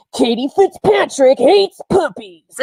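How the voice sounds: This put-on character voice is high and swings very widely in pitch. It moves at a fairly slow pace.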